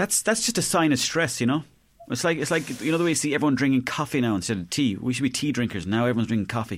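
A man with an Irish accent, medium pitch, very fast pace and lively intonation, on a very clean recording with a silent background. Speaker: comedian. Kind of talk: casual chat.

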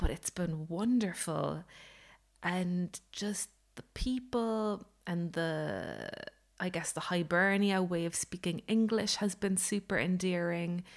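On a very clean recording with a silent background, a woman of medium pitch speaks very slowly in an Irish accent with ordinary pitch variation. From Ireland. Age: 30s. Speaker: baker and podcaster. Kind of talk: casual solo vlog update. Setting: home kitchen.

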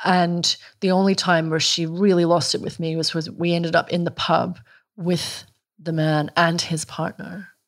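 This woman has a fairly low pitch and a monotone, flat intonation in a Scottish accent. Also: moderate pace. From Scotland. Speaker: journalist and author. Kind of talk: casual chat. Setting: in the host's kitchen.

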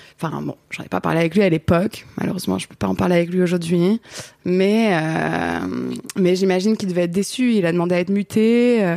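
Speaking at a fairly quick pace, a woman with a fairly low pitch and a dark, mellow tone keeps her intonation fairly even while her loudness swings widely. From Paris region, France. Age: 30s. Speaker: photographer, director and singer. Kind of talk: casual chat.

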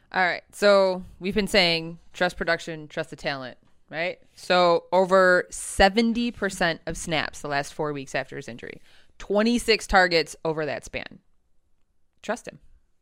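A woman with an unremarkable speaking voice talks at medium pitch and a fairly slow pace, with ordinary pitch variation and big swings in loudness. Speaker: regular co-host, fantasy football. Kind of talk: casual chat about fantasy football.

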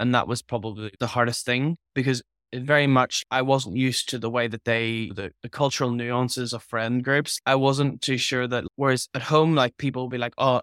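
A man with a Northern Irish accent and a medium pitch, fairly even intonation at a fairly quick pace, dry and close with no echo. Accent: Northern Irish (Belfast). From Belfast, Northern Ireland. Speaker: guest, Irish immigrant to Australia. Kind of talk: casual interview chat.

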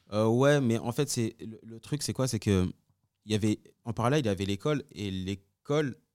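The sound is dry and close, with no echo. A man speaks at medium pitch with ordinary pitch variation, in an ordinary speaking voice. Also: moderate pace. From France, Congolese heritage. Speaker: music producer. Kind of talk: casual interview.

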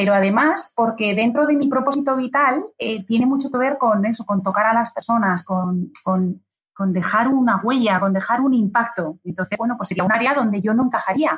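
Speaking at a moderate pace, a woman takes hardly any pauses. Her pitch varies in an ordinary way. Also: fairly high pitch for a woman. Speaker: business executive and author. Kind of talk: interview. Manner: animated.

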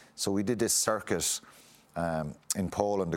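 A man with a Munster Irish accent speaks in a very deep, low pitch. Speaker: former rugby player. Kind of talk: interview.

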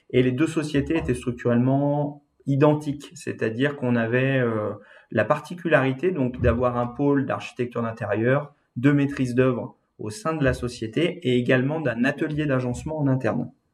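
A man with an ordinary speaking voice keeps to a moderate pace, his pitch medium and its variation ordinary. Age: 30s. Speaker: interior design agency owner. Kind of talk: interview.

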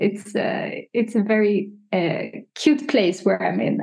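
Speaking at a very slow pace, a woman uses a medium pitch with ordinary pitch variation. Her voice is somewhat breathy. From Sweden, Stockholm. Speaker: digital artist. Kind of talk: casual chat. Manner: hesitant with many fillers.

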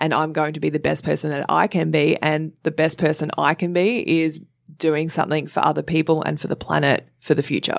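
With an Australian accent, a woman speaks at a fairly quick pace in a very deep, low pitch with vocal fry and fairly even intonation, on a very clean recording with a silent background. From Australia, Sydney (Cronulla). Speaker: presenter, model and climate activist. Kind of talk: casual interview chat. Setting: studio.

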